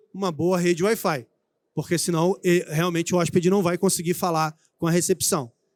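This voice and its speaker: A high-pitched man's voice with a Rio de Janeiro accent and fairly even intonation, dry and close with no echo on a very clean recording with a silent background. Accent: carioca. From Brazil, Rio de Janeiro. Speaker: IT executive speaking at trade show. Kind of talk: conference talk. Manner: hesitant, many fillers.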